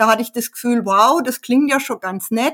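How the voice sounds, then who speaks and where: A woman talks in an unremarkable speaking voice, pitched fairly high with fairly even intonation. The recording is very clean, with a silent background. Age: 60s. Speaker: hobby pianist and author. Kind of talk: casual interview.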